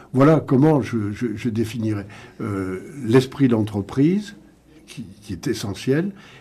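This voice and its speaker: A man talks at a very slow pace with a medium pitch. His tone is dark and mellow, with ordinary pitch variation. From France, Paris region. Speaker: sports entrepreneur. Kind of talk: radio panel discussion.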